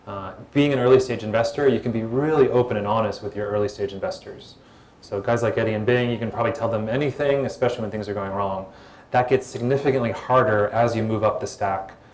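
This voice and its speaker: Speaking very fast with fairly even intonation, a man of medium pitch is heard over noticeable background noise and audible room echo. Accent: American. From United States. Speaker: former tech executive and startup investor. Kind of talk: panel Q&A at live event. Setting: stage with audience. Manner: soothing.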